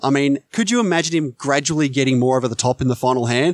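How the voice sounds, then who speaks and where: A man's fairly high voice in an Australian accent, fairly quick, with ordinary pitch variation. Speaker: podcast guest, film podcaster. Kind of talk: casual chat.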